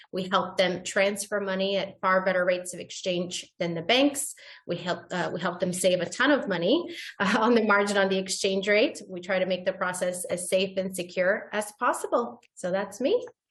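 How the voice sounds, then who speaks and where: A somewhat breathy woman's voice at medium pitch and a moderate pace. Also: ordinary pitch variation. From Bulgaria. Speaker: currency exchange business manager. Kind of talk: panel discussion.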